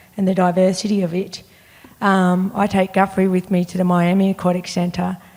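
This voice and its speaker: Speaking at a moderate pace, a woman with a medium pitch talks in an Australian accent. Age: middle-aged. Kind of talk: panel discussion. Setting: stage with audience.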